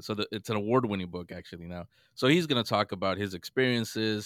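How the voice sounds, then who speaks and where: The speaker has an American accent and ordinary pitch variation. The sound is dry and close with no echo, on a very clean recording with a silent background. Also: man. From US West Coast, San Francisco. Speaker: radio broadcaster and paranormal podcaster. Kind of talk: casual interview chat. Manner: halting, many repeats and fillers.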